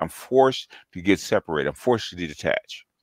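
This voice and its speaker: A man's normal speaking voice, fairly low in pitch with lively intonation, at a fairly quick pace, in a dry, close sound with no echo on a very clean recording with a silent background. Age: 60s. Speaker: older MGTOW commentator. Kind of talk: casual chat.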